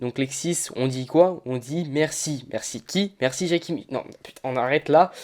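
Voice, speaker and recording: A man speaks in an ordinary speaking voice with ordinary pitch variation. The recording is very clean, with a silent background. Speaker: gaming commentator. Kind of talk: gameplay commentary over video.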